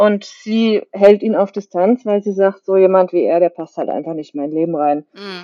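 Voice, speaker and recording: A woman speaks with a plain, everyday voice at a medium pitch and a moderate pace. Her pitch varies in an ordinary way, her loudness swings widely, and she takes hardly any pauses. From Germany, Kaiserslautern area (Palatinate). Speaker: novelist. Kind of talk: interview.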